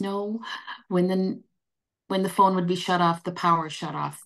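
A woman speaks with a Canadian accent against a quiet background. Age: 60s. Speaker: nursing association CEO; guest. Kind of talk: panel discussion. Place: home room. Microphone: video call.

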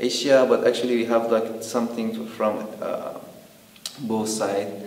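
A man with a Persian accent speaks at a fairly slow pace. Room echo can be heard. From Iran. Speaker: documentary interviewee. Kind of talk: interview answer. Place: home room.

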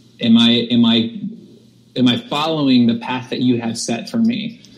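A man talks at a fairly slow pace in a medium pitch with ordinary pitch variation. Noticeable background noise can be heard. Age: 30s. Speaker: worship pastor. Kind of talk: casual chat. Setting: video call. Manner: halting.

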